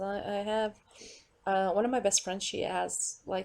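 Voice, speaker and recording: A woman with a Portuguese accent speaks at a moderate pace and medium pitch with a dark, mellow tone. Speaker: vlogger. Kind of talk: casual monologue rant. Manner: rambling with many fillers; animated.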